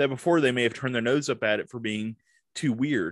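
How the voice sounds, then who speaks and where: An unremarkable speaking voice with an American accent, fairly quick and fairly even in intonation, over a quiet background. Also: man. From US South, Tupelo, Mississippi. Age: 40s. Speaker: film critic. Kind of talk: casual chat. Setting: video call.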